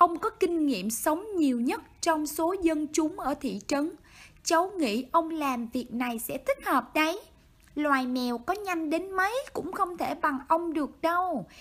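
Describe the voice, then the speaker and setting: Very slow, lively speech from a woman with a high-pitched voice. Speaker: amateur narrator. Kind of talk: children's bedtime story reading. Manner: motherly.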